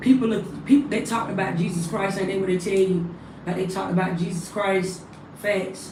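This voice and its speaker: There is noticeable background noise and audible room echo as a woman speaks at a medium pitch and a moderate pace. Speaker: spiritual livestreamer. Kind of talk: casual livestream monologue. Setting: livestream.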